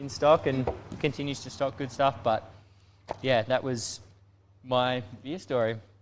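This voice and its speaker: A man with an Australian accent talks at a medium pitch with fairly even intonation. His pace is fairly slow, with long, frequent pauses. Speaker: brewery staff, panel regular. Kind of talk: casual chat.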